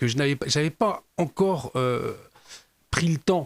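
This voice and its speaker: A man talks at a moderate pace with ordinary pitch variation, the sound dry and close with no echo. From western France, Nantes (Loire-Atlantique). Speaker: former gendarme turned TV journalist. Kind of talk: interview. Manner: hesitant, many repetitions and fillers.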